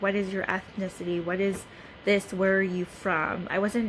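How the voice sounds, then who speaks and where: Speaking with a Southeast Asian accent, a woman keeps a moderate pace and a monotone, flat intonation over noticeable background noise. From US, Hmong American community. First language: Hmong. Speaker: student. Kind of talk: class presentation. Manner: hesitant, many fillers.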